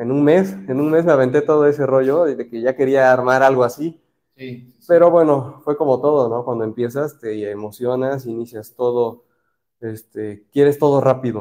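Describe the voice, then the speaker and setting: Against a quiet background, a man with a dark, mellow tone speaks at medium pitch and a moderate pace, with ordinary pitch variation. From Mexico, Orizaba, Veracruz. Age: 30s. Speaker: aquascaper, industrial engineer. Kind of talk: interview. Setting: aquarium shop, live stream.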